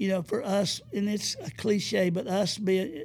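A man's high-pitched voice in an Alabama accent, with fairly even intonation. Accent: US Southern (Alabama). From north Alabama (Madison County). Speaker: retired basketball coach. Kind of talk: interview, faith testimony.

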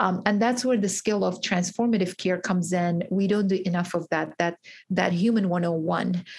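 Somewhat breathy woman's voice of medium pitch, fairly even in intonation and very even in loudness. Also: moderate pace. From Iraqi Kurdistan, raised in Georgia, US. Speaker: pharmacist and author. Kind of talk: interview. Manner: hesitant, many fillers.

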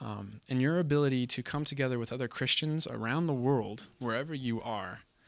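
On a very clean recording with total silence behind him, a man talks with an American accent. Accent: slight Canadian-tinged American. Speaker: youth group speaker. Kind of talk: sermon. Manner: informal, conversational, hesitant with fillers.

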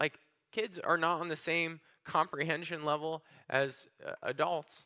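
A man with a fairly high pitch, vocal fry and a bright, sharp tone. His pitch moves in an ordinary way, at a fairly slow pace, with a dry, close sound and no echo. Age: 20s. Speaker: pastor. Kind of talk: sermon.

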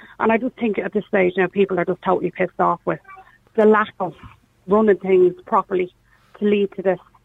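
A woman with an Irish accent talks at a fairly quick pace in a medium pitch with fairly even intonation and long, frequent pauses, the sound dry and close with no echo. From Ireland, Meath-Kildare border. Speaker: caller. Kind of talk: phone-in discussion. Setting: phone call.

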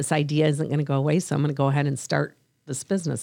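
Speaking at a very fast pace with an American accent, a woman has a dark, mellow tone, a very deep, low pitch and fairly even intonation. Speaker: podcast host. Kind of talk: casual chat.

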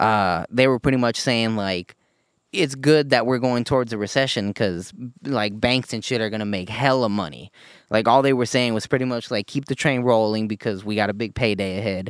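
A man's medium-pitched, plain, everyday voice with an American accent, ordinary pitch variation and a moderate pace. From United States. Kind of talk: casual banter. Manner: casual, profane.

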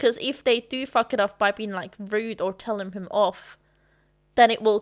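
On a very clean recording with a silent background, the speaker talks with a non-native accent and fairly even intonation. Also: woman. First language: not English. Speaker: actress. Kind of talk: casual chat. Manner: laughs often.

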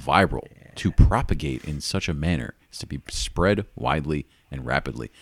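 A man talks with noticeable vocal fry. The sound is dry and close with no echo, and the recording is very clean over a silent background. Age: 30s. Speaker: podcast co-host. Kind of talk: casual chat. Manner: animated.

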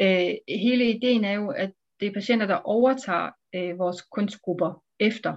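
Fairly slow female speech, medium in pitch, with ordinary pitch variation. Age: 40s. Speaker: psychiatrist. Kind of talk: interview. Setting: video call. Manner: hesitant with fillers.

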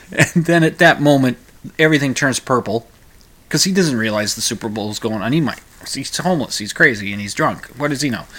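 A man at a medium pitch speaks at a very fast pace. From Minnesota. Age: 50s. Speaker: podcast talk show host. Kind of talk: solo talk-radio monologue, casual and rambling; radio DJ patter, station ID and break outro in upbeat announcer style. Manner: hesitant, full of uh and repeated words; chuckling, jovial, punchy sign-off delivery.

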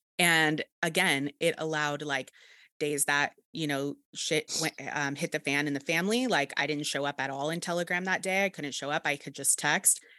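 A woman's very deep, low voice with a bright, sharp tone, on a very clean recording against a silent background. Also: ordinary pitch variation, dry, close sound with no echo. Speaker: podcast host and confidence coach. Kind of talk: casual interview. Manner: fast talker.

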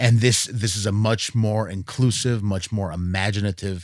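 In a very clean recording with a silent background, a man with an ordinary speaking voice talks fairly slowly at a fairly low pitch, his intonation fairly even. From US Northeast, rural western Massachusetts. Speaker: jazz radio host and musician. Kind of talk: casual interview chat.

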